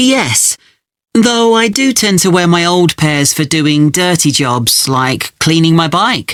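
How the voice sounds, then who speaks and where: Speaking very slowly in a British accent, a man with a high voice makes very wide pitch swings while keeping his loudness very even. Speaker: student. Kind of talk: scripted exam dialogue.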